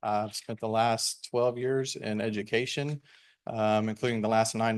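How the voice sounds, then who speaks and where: Against a quiet background, a man with an American accent speaks in a monotone, flat intonation. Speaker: procurement director. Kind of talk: formal remarks at board meeting. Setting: board meeting room. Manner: fast.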